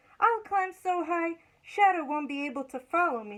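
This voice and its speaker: A woman's squeaky, put-on character voice, raised and projected, extremely high in pitch, at a moderate pace. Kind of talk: bedtime story. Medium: read story.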